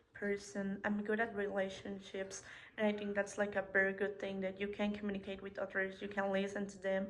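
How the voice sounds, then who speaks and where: At a moderate pace, a woman with a Spanish accent speaks at medium pitch in a flat monotone. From Mexico. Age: 20s. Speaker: hospitality student. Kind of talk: self-introduction presentation.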